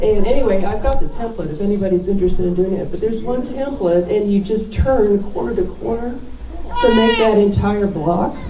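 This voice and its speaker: Over noticeable background noise and audible room echo, a woman talks at a moderate pace. Her medium-pitched voice shows ordinary pitch variation. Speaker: quilter. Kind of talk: show and tell talk. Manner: loud.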